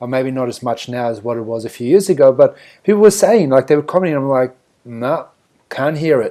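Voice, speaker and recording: Recorded very cleanly against a silent background, a man with a strong South African accent talks at a fairly quick pace in a medium-pitched, dark, mellow voice, his intonation lively and his loudness swinging widely. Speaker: podcast co-host. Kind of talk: casual chat.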